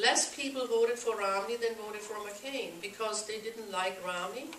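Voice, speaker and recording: Amid noticeable background noise and audible room echo, a woman with a German accent and fairly high pitch speaks at a moderate pace with fairly even intonation. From Germany. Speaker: political activist group president. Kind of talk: speech at a meeting.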